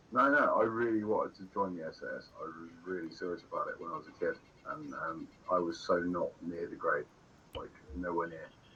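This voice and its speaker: Fairly quick delivery with big swings in loudness. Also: man. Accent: English. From England. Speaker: gamer streamer. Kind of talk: casual chat. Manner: halting.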